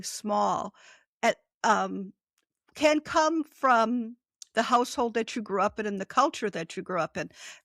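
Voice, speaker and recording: A woman's fairly high, bright and sharp voice, fairly slow pace and lively intonation, on a very clean, silent-background recording with a dry, close sound and no echo. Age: 60s. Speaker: author and former nurse. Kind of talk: interview conversation.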